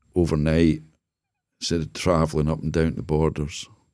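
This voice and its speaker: On a very clean recording with a silent background, the speaker talks at a fairly quick pace in a Scottish accent. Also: man. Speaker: business consultant and former charity CEO. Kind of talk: casual interview chat. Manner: halting, repeats words.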